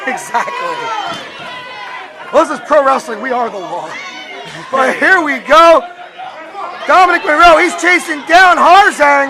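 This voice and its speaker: Over crowd noise in the background, a raised, projected voice speaks at a fairly slow pace with long, frequent pauses. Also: man, extremely high pitch for a man, lively intonation. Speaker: wrestling ring announcer and commentator. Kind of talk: live sports commentary. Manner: jokey, banter-heavy.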